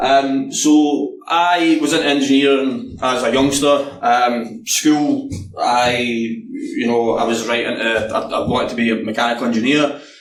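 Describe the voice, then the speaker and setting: Amid noticeable background noise and audible room echo, a man with a Scottish accent and a fairly high pitch with ordinary pitch variation talks at a fairly slow pace with hardly any pauses. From Scotland. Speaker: penetration tester. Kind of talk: conference talk. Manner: hesitant, many fillers.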